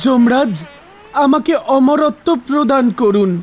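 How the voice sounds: Using a put-on character voice, a man speaks at an extremely high pitch with lively intonation. His slow delivery has faint music in the background.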